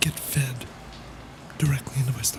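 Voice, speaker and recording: Someone whispers over noticeable background noise. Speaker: live streamer. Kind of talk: casual livestream talk. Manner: gentle.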